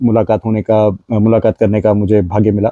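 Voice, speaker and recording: A man's dark, mellow tone in a dry, close sound with no echo. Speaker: podcast host. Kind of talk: casual interview. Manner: code-switches Hindi with English.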